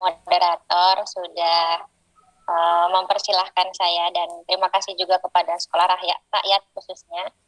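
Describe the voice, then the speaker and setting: A woman talks fairly slowly, her pitch sitting in the medium range. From Indonesia, outside Bugis region. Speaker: book author and philology researcher. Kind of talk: book talk presentation. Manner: halting with fillers.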